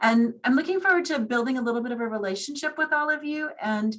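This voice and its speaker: With a normal speaking voice and lively intonation, a woman talks at a moderate pace in a fairly high pitch. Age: 60s. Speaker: hospital chaplain. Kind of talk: webinar presentation.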